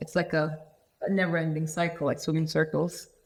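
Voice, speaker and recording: Speaking with a Turkish accent, the woman has a fairly low pitch and a monotone, flat intonation. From Turkey, Antalya. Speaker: architect. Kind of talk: casual chat.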